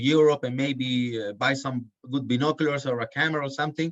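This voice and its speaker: At a moderate pace, a man speaks with a Chilean accent. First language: Spanish. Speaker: birding guide. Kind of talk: podcast interview. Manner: halting.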